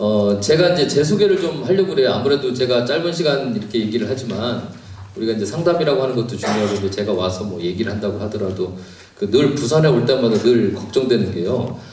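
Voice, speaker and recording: A man's medium-pitched voice at a very fast pace, lively intonation, audible room echo and noticeable background noise. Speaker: pastor and counseling professor. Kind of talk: lecture. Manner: animated.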